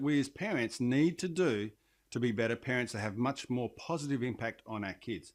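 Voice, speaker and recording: Speaking with an Australian accent, a man talks at a fairly quick pace with lively intonation. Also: very clean recording, silent background. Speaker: parenting coach and leadership trainer. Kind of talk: direct-to-camera talk.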